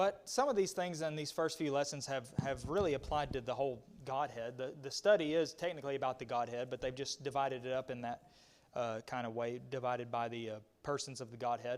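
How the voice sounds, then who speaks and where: Here is a man with an American accent at medium pitch. He talks fairly quickly, with ordinary pitch variation. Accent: rural Southern US twang, self-described hick. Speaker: Bible class teacher. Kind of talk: Bible study lesson. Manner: halting, with many fillers and repetitions.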